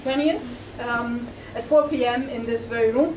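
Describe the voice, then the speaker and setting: A loud female voice with fairly even intonation, audible room echo and noticeable background noise. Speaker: sociology professor introducing a lecture. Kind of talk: formal welcome and announcements at a public lecture. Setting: lecture room with live audience. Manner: trying to speak louder; hesitant, many fillers.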